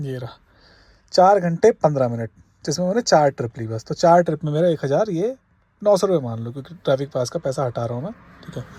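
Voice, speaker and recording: A man's dark, mellow, somewhat breathy voice, fairly high in pitch, with lively intonation, big swings in loudness, and a moderate pace. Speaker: cab driver vlogger. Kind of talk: casual vlog. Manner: conversational.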